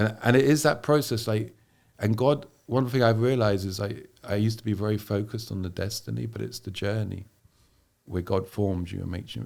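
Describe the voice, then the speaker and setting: Speaking fairly quickly with an English accent, a man uses a fairly low pitch and ordinary pitch variation. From England. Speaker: missionary. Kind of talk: podcast interview.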